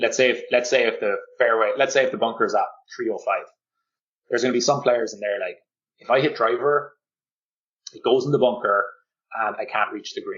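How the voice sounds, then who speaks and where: In a Cork accent, the speaker moves at a fairly quick pace but leaves long, frequent pauses. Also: man. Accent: Cork Irish. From Ireland, Cork. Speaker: golf fitness coach. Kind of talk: podcast interview. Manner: animated, uses many fillers.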